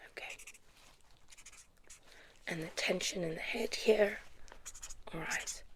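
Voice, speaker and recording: Over noticeable background noise, a woman whispers fairly slowly. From South Africa. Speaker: ASMR performer. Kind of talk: ASMR roleplay as optometrist. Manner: soft-spoken.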